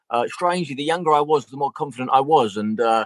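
A man with a Southeast London accent, ordinary pitch variation, and a dry, close sound with no echo. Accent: London (south-east). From South East London. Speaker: actor. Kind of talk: casual interview chat.

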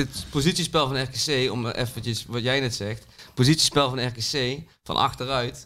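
A man talks at a fairly slow pace with fairly even intonation. His voice sits at a medium pitch and has a bright, sharp tone. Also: very clean recording, silent background. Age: 30s. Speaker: artist, PSV supporter. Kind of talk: casual chat.

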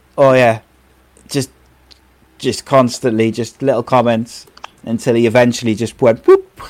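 In a Welsh accent, a man speaks at medium pitch with monotone, flat intonation and long, frequent pauses. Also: moderate pace. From Wales. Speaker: podcast host. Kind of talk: casual chat.

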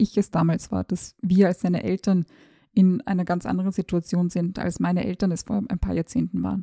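Dark and mellow in tone and somewhat breathy, the voice moves at a fairly quick pace with a dry, close sound and no echo. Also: woman. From Austria, Tyrol. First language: Serbo-Croatian (speaking German). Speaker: journalist and podcast host. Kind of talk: personal monologue.

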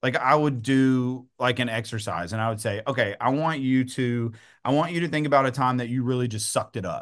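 With an East Texas accent, a man speaks at a moderate pace and medium pitch with ordinary pitch variation against a quiet background. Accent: East Texas Southern US. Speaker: real estate agent and coach. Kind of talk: interview conversation.

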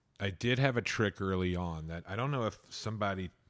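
At a moderate pace, a man with a fairly low pitch and ordinary pitch variation speaks in an unremarkable speaking voice on a very clean recording with a silent background. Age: 40s. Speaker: radio host. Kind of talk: casual chat.

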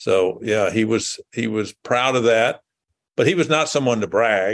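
A man with an American accent speaks in a normal speaking voice at medium pitch and a moderate pace. His pitch varies in an ordinary way against a quiet background. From US South, rural west Tennessee. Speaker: businessman and political party figure. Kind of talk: interview.

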